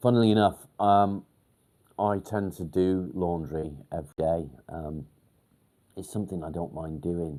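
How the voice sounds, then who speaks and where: A man's very deep, low voice in a northwest English accent, dark and mellow in tone, fairly slow, with long, frequent pauses, big swings in loudness and ordinary pitch variation. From northern England, near Warrington. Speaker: mental health livestreamer. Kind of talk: casual livestream chat. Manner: hesitant, many ums.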